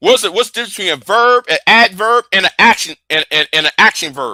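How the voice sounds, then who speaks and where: A man talks at a high pitch and a fairly quick pace, his raised, projected voice bright and sharp. His intonation is lively, and the sound is dry and close with no echo. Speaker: live streamer. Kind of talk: heated debate. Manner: repetitive, stammering; heated, confrontational.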